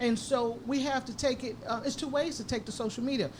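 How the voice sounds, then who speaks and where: Noticeable background noise accompanies a woman speaking at a very fast pace. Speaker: radio show host. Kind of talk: live radio talk. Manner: sometimes halting.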